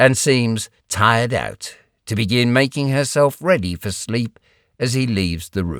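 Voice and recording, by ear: The background stays quiet. Words are read aloud in a natural voice.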